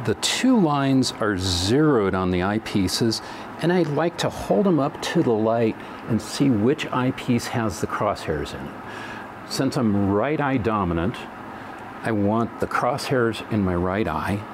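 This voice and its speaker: Noticeable background noise runs under a man speaking at a fairly slow pace. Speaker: product demonstrator. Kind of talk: tutorial. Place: studio.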